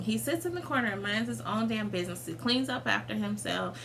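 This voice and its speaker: Animated and medium in pitch, a woman speaks at a moderate pace with very wide pitch swings, amid noticeable background noise and audible room echo. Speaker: vlogger. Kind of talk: casual chat.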